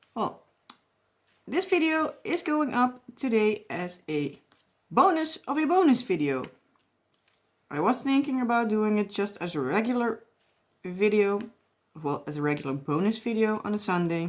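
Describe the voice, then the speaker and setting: A woman with a strong Dutch accent speaks in a fairly high voice with very wide pitch swings. Her pace is moderate, broken by long, frequent pauses. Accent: heavy Dutch. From Netherlands. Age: 20s. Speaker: crafting YouTuber. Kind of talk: casual chat while crafting. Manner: rambling.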